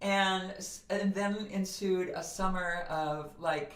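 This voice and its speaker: A woman's voice carries audible room echo. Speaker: voice coach and author. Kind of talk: podcast interview. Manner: animated.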